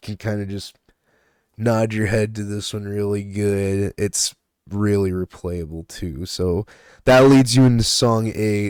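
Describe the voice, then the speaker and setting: With a plain, everyday voice, a man with a fairly low pitch speaks at a fairly slow pace with fairly even intonation, in a very clean recording with a silent background and a dry, close sound with no echo. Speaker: music reviewer. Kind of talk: casual album review.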